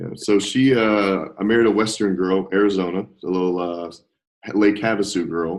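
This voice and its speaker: The man's voice is fairly low in pitch, with fairly even intonation. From US South. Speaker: nurse. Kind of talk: interview.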